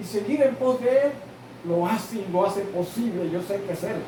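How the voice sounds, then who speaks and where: A man is talking with audible room echo. Noticeable background noise runs underneath. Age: 60s. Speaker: pastor. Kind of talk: sermon.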